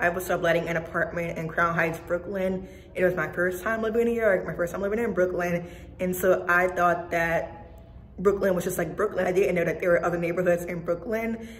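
A woman with a fairly low pitch speaks fairly quickly in a monotone, flat intonation. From US South, New Orleans, Louisiana. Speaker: YouTuber giving career advice. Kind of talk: vlog talking to camera. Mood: cheerful, nostalgic. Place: office. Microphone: phone near.

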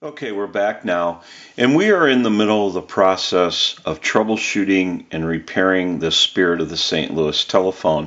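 This man has a plain, everyday voice, fairly low in pitch, with ordinary pitch variation. He keeps a moderate pace with hardly any pauses over a quiet background. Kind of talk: tutorial. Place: workshop.

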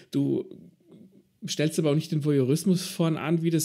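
A man speaks at a moderate pace. His voice is somewhat breathy, with a dark, mellow tone. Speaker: podcast host. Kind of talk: interview.

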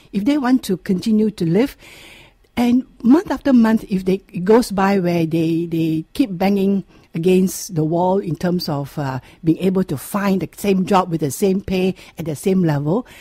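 A woman speaks at a moderate pace with lively intonation, her tone dark and mellow and somewhat breathy. The sound is dry with no echo, and the background is quiet. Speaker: radio guest. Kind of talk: interview answer. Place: studio.

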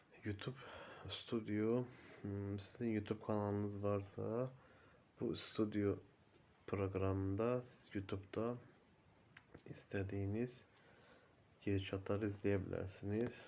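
A man speaks at a fairly low pitch with a dark, mellow tone and monotone, flat intonation. His pace is fairly slow, with long, frequent pauses. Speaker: YouTuber. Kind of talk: tutorial. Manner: halting.

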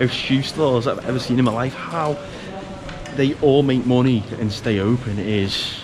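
A man speaks at a moderate pace with ordinary pitch variation, and there is noticeable background noise. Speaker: travel vlogger. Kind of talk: casual vlog chat. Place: market. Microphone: phone near.

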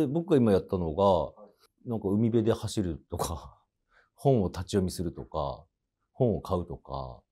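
A man's fairly low voice with a dark, mellow tone. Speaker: comedian acting in a TV commercial as a salaryman. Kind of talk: casual interview answer about the commercial shoot. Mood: calm, low-key, modest.

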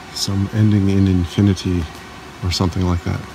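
A man talks in a fairly low, flat monotone at a moderate pace. The sound is dry with no echo, and there is noticeable background noise. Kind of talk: casual vlog chat. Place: hall. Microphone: phone near.

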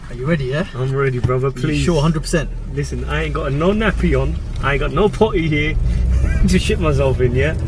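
The sound is dry with no echo, the pace fairly quick, and background noise is noticeable. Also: man. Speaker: passenger vlogger. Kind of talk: casual vlog chat. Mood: nervous, joking, laughing. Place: car. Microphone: phone near.

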